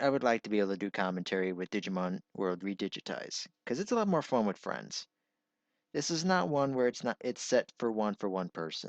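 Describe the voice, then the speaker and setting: A man speaks with a fairly low pitch. The sound is dry and close with no echo, and the background is quiet. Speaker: gaming YouTuber. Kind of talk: channel update monologue. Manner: halting.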